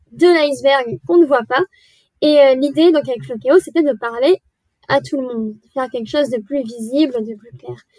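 Here a woman speaks at a moderate pace in a high pitch with ordinary pitch variation. The sound is dry and close, with no echo. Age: 20s. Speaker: media manager at a sustainable tourism platform. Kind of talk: podcast interview.

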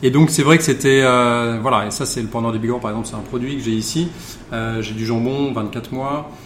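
A man talks at a fairly slow pace. Audible room echo and noticeable background noise are present in the recording. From Charente, western France. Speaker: wine bar owner. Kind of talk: casual interview. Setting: in a wine bar. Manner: halting.

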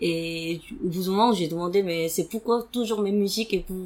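At a moderate pace, a woman with a Korean accent speaks at a medium pitch with fairly even intonation. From South Korea. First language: Korean (speaking French). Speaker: podcast guest sharing personal story. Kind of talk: interview testimony. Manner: halting with many fillers.

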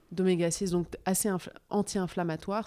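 On a very clean recording with a silent background, a woman's dark, mellow voice sits at a fairly low pitch with fairly even intonation. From Morocco, then Touraine France from 12. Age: 40s. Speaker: nutrition blogger, former finance worker. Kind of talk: interview conversation. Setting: at guest's home.

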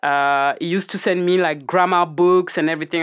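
Recorded very cleanly against a silent background, a woman speaks at a fairly quick pace in a fairly low voice with a strong French accent and ordinary pitch variation. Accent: thick French. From Guadeloupe. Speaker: cannabis business founder. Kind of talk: casual interview chat.

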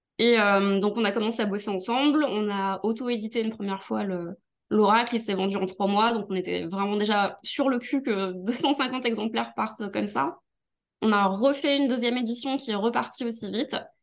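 A woman with a plain, everyday voice talks at a moderate pace. Her pitch is fairly high, with ordinary variation. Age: 40s. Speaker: music journalist and tarot reader. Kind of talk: casual chat. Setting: video call.

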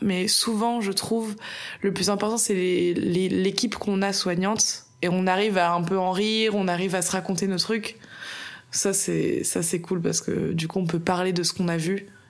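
With audible room echo and noticeable background noise, a woman talks at a medium pitch in a monotone, flat intonation with very even loudness. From France, Bordeaux. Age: 20s. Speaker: medical student, former nurse. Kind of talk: casual interview chat.

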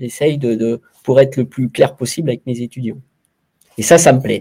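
A man's medium-pitched voice, dark and mellow in tone, with ordinary pitch variation and a moderate pace. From France, Saint-Étienne. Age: 50s. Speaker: former sports journalist and club executive. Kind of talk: interview. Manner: halting, many repetitions and hesitations.

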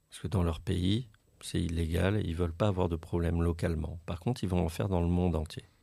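A man speaks very fast in a very deep, low voice. His tone is dark and mellow. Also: fairly even intonation. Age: 40s. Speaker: anti-fraud association director. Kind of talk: interview.

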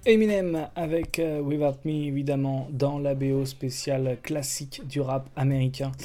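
This speaker has a French accent and fairly even intonation. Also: man. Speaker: radio host. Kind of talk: radio music show presentation. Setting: radio studio. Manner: hesitant, with filler words.

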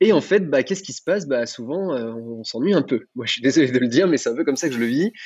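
A man's fairly quick delivery has a lively melody to it. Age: 30s. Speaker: wedding entertainment provider. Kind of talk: interview. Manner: halting, many fillers.

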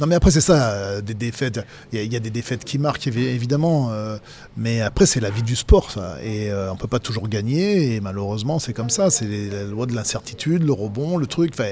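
A man's dark, mellow tone with lively intonation, at a moderate pace. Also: medium pitch for a man. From Dauphiné, France (Vienne). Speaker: former rugby player and pundit. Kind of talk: casual interview. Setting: restaurant.

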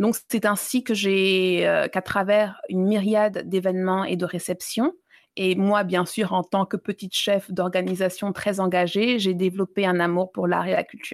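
A woman at a medium pitch speaks at a fairly slow pace, her loudness very even and her intonation flat and monotone, in a dry, close sound with no echo. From Libya and Mali (Malian family, childhood abroad). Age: 30s. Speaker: exhibition curator and feminist blogger. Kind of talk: interview. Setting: remote call from abroad. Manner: halting with many hesitations.

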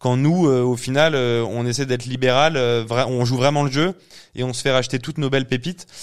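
A plain, everyday voice comes from a man at medium pitch, moving at a fairly quick pace. His intonation is fairly even, on a very clean recording with a silent background. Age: 30s. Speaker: agency founder and CEO. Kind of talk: casual interview.

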